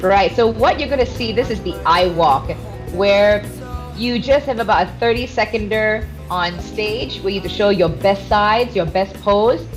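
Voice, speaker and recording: An energetic tone at a moderate pace, with music in the background. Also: woman. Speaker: radio DJ and fitness coach. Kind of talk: interview answer. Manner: energetic, extroverted.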